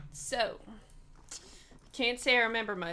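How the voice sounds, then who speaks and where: A woman talks with a Southern US accent at a moderate pace. Her pitch varies in an ordinary way. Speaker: video game streamer. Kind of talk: casual gameplay commentary.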